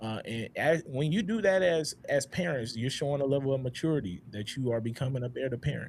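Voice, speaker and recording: A man talks at a fairly quick pace with hardly any pauses, his voice fairly high and somewhat breathy. His intonation is lively. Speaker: podcast host. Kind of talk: panel discussion. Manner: halting.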